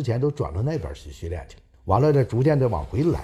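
A man speaks at a fairly quick pace with lively intonation, a fairly high pitch and a somewhat breathy quality. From Northeast China, Changchun, Jilin. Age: 70s. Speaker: retired speed skater and Olympic flag bearer. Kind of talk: interview recollection.

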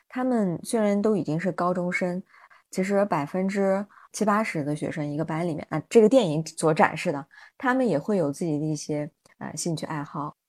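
This woman talks at a moderate pace. Her pitch varies in an ordinary way. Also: very clean recording, silent background. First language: not Chinese (speaking Chinese). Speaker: podcast host, mother and educator. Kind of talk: casual chat.

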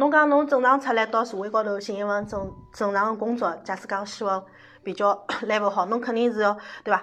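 This woman talks at a very fast pace. Her pitch is fairly high, with ordinary variation. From Shanghai. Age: 40s. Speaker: makeup artist. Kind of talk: casual chat. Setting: studio.

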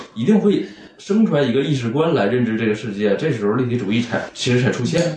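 The speaker has a strong Northeastern Chinese accent and a moderate pace. Audible room echo and noticeable background noise are present. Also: man. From Northeast China, Anshan. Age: 30s. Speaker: painter. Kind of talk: casual interview chat. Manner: shy, hesitant.

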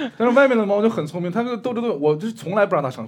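Amid audible room echo, a man talks at a very fast pace with very wide pitch swings. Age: young. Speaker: stand-up comedian. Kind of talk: casual chat. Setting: stage with live audience.

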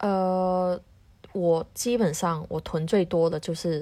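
At a very slow pace, a woman speaks with fairly even intonation in a fairly low, dark, mellow voice on a very clean recording with a silent background. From Hong Kong. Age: young. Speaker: home cook, office worker. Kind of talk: casual chat.

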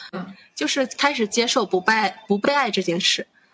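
This is an ordinary speaking voice at a moderate pace. Its intonation is lively. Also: woman. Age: 20s. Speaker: podcast host. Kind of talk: casual chat.

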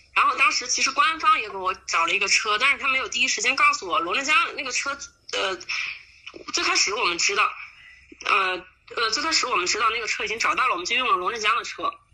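A woman speaks very fast at a high pitch, her voice swinging very widely up and down. She leaves long, frequent pauses against noticeable background noise. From Huanggang, Hubei, China. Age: 20s. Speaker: volunteer. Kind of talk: interview.

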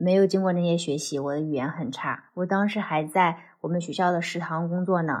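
A woman with a normal speaking voice talks at a fairly quick pace in a fairly low pitch. Her intonation stays fairly even, and the background is quiet. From China. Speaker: former PhD student in the US. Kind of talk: casual chat.

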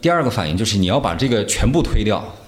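A man speaking at a very fast pace amid audible room echo. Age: 30s. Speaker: actor. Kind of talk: casual chat.

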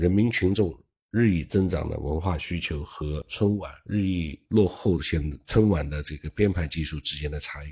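At a moderate pace and with hardly any pauses, a man speaks in a very deep, low pitch with ordinary pitch variation and a dark, mellow, somewhat breathy tone. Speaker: online commentator. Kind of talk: monologue commentary. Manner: casual, with self-corrections.

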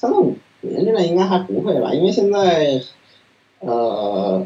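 A man's voice with very wide pitch swings. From Beijing, China. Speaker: PhD student in machine learning. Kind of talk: interview. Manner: halting with many fillers.

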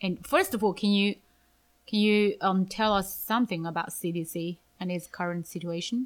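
In a Chinese accent, a woman speaks at a moderate pace. Her pitch is medium and her intonation fairly even. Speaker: podcast host, English teacher. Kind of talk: casual interview chat.

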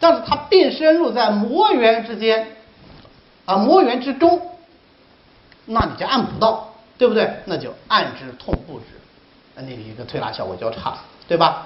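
Against noticeable background noise and audible room echo, a man speaks at a moderate pace with long, frequent pauses. His high pitch makes very wide swings, and his loudness shifts in big swings. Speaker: Chinese medicine teacher. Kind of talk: lecture. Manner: animated.

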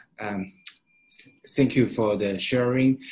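A man speaks very slowly with a Chinese accent, at a medium pitch. His voice is somewhat breathy, with fairly even intonation. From Shanghai, China. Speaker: event host, startup accelerator staff. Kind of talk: webinar moderation. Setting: online webinar. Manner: halting, many fillers.

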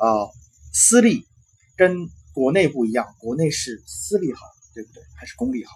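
Somewhat breathy, a man speaks at a fairly high pitch and a moderate pace, with very wide pitch swings. Long, frequent pauses and big swings in loudness run through his speech. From China. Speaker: recent university graduate, former international student. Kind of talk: interview. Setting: host's home. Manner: halting.

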